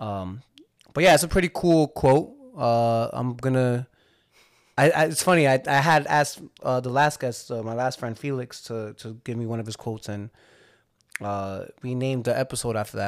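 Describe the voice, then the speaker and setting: A man speaks with a New Jersey accent at medium pitch. He keeps a moderate pace with ordinary pitch variation. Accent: New Jersey American. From Hudson County, New Jersey. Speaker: podcast host. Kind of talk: casual chat.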